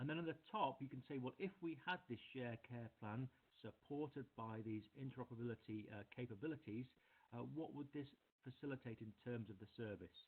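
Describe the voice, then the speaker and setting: A man speaks at a fairly quick pace. His voice sits at a medium pitch, with ordinary pitch variation. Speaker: health service presenter. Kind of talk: presentation. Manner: hesitant, many fillers. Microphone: very quiet.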